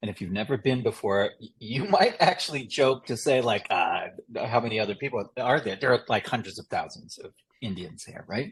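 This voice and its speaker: With an American accent and a normal speaking voice, a man talks at a fairly quick pace with lively intonation. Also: medium pitch for a man, big swings in loudness. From US South, Chattanooga, Tennessee. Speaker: policy consultant, former presidential advisor. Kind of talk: podcast interview conversation.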